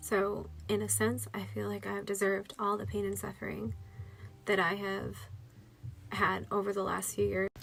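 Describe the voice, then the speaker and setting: Audible room echo fills the recording. The speaker is a woman. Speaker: vlogger sharing health experience. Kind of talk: personal testimony. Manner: halting.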